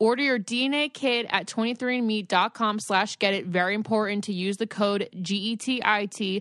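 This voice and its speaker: A woman speaks in an unremarkable speaking voice at a fairly high pitch and fairly slow pace, with fairly even intonation. The background is quiet, and the sound is dry and close with no echo. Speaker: podcast host. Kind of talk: casual chat. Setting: at home.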